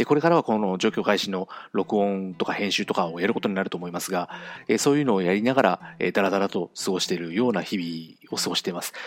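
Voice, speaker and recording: A very fast, nervous-sounding man with a fairly low pitch, recorded dry and close with no echo in a very clean, silent setting. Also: ordinary pitch variation. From Japan, Fukuoka (Kyushu). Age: 40s. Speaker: podcast host. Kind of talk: solo monologue podcast. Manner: fast talker; nervous, hesitant with many fillers.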